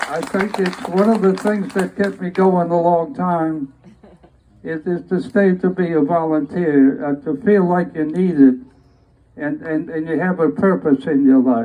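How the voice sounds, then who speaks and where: Pitched high, a man's voice has a dark, mellow tone and ordinary pitch variation. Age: 80s+. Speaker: Navy veteran and band conductor. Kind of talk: testimony. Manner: halting, many repetitions.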